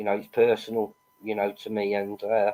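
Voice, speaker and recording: Here a man talks at a moderate pace with monotone, flat intonation. His fairly low voice has a dark, mellow tone. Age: 50s. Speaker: YouTuber. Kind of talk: live stream chat. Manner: halting.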